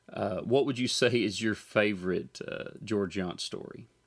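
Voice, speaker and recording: On a very clean recording with a silent background, a man with an American accent uses a normal speaking voice at a fairly low pitch and a fairly slow pace, with ordinary pitch variation. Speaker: podcast host and gospel musician. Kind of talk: interview.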